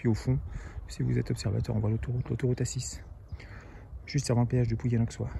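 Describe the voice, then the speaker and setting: A man is speaking. His pace is very fast. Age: 60s. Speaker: cycling vlogger. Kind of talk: vlog narration while cycling. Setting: outdoors on a bike. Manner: casual, hesitant with fillers.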